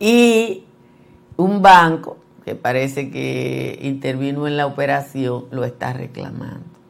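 A woman with a very deep, low voice speaks at a very slow pace, with lively intonation and big swings in loudness. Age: 60s. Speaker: journalist and news commentary host. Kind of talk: news commentary.

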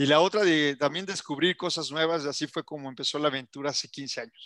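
A man's fairly high-pitched voice with a bright, sharp tone, dry and close with no echo, on a very clean recording with a silent background. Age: 40s. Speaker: marketing agency CEO and entrepreneur. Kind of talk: interview.

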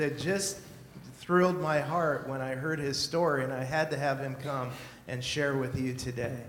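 Male voice with noticeable background noise. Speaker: pastor introducing guest speaker. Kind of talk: spoken introduction. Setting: church.

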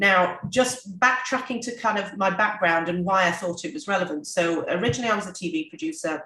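A woman with a British accent talks in a bright, sharp tone with ordinary pitch variation. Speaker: business owner. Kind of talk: interview conversation.

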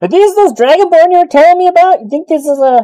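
A squeaky put-on character voice at an extremely high pitch and a very fast pace. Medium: actual play. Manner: loud, excitable.

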